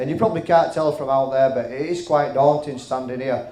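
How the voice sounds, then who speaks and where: A man with a Yorkshire accent and a fairly high voice, plus audible room echo and noticeable background noise. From West Yorkshire, Halifax. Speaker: comedian. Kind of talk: stand-up. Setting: stage with audience.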